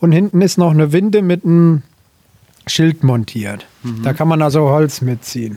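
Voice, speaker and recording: At a moderate pace, a man with a fairly high pitch speaks in an ordinary speaking voice. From Hesse, northern former Dill district. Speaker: tractor owner. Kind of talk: casual interview. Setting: in an old barn.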